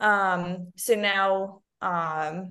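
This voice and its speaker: A woman speaks with an Arabic accent at a medium pitch. Her intonation is fairly even, and the background is quiet. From Lebanon. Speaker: speech-language pathologist and researcher. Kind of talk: casual interview.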